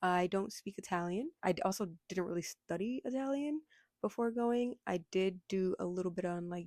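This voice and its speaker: A woman with an American accent, a normal speaking voice at medium pitch and moderate pace, in a dry, close sound with no echo and a very clean recording with a silent background. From United States. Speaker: vlogger. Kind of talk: casual vlog talk.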